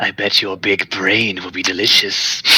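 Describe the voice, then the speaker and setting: A man uses a put-on character voice that is raspy and fairly low. He speaks at a moderate pace. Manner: menacing.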